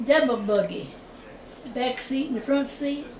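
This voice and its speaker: A woman's voice shows ordinary pitch variation while noticeable background noise runs beneath it. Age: 80s+. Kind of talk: interview answer. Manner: casual, storytelling.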